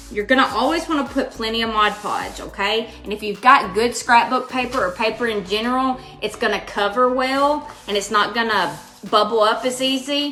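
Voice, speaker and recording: Against noticeable background noise, a woman with a Kentucky accent speaks in a fairly high pitch. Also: ordinary pitch variation, moderate pace. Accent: Kentucky (US Southern) accent, noticeable. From Western Kentucky (Hopkinsville). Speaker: crafting channel host. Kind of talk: live craft tutorial. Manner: casual, chatty.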